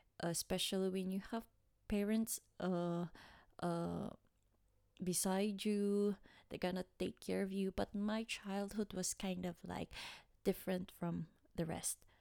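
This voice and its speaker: Speaking with a Filipino accent, a woman talks at a fairly slow pace in a dark, mellow tone of medium pitch, her intonation monotone and flat, with long, frequent pauses and a dry, close sound free of echo. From Philippines, Manila area. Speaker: podcast host. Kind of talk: personal storytelling monologue. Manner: halting, many fillers.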